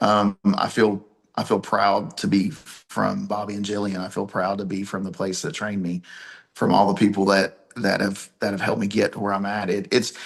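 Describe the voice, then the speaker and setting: A man with an Appalachian accent speaks at a moderate pace in a fairly low pitch, his intonation fairly even. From Appalachia, US. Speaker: pro wrestler and promoter. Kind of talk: interview.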